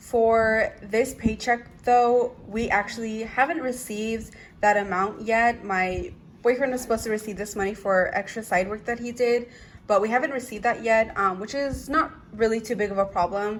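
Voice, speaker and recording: With an ordinary speaking voice, a woman speaks at a moderate pace. Her pitch is fairly high and her intonation fairly even. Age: 20s. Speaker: budgeting vlogger. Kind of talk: casual vlog.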